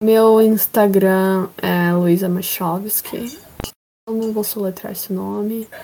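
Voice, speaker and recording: Her tone dark and mellow, a woman speaks at a very slow pace with fairly even intonation. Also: medium pitch for a woman. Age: 20s. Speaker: podcast guest. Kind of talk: casual chat. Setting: video call.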